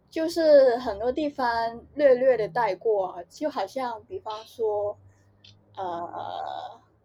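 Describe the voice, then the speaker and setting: Speaking at a very slow pace in a Hong Kong accent, a woman with a fairly high, dark and mellow voice makes very wide pitch swings and big swings in loudness. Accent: Hong Kong, lazy Cantonese pronunciation. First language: Cantonese (speaking Chinese). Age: young. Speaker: podcast co-host. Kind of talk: casual chat.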